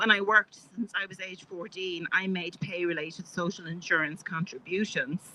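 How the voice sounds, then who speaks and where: With big swings in loudness, a woman speaks at a moderate pace, with a medium pitch and fairly even intonation. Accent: Irish. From Ireland. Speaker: health care advocate. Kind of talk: public speech. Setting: outdoor rally on capitol steps. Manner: halting, many fillers.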